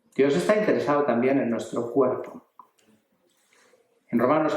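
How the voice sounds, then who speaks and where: With lively intonation, a man uses a normal speaking voice at a fairly high pitch. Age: 60s. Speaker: preacher. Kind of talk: sermon.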